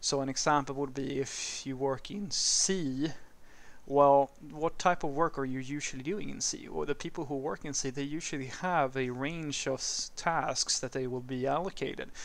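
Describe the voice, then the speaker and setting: This man speaks with a Swedish accent at a moderate pace. His pitch is fairly high and his intonation fairly even. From Sweden. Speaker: programming educator / YouTuber. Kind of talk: casual educational talk answering a viewer question. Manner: conversational, with some hesitations and fillers. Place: street.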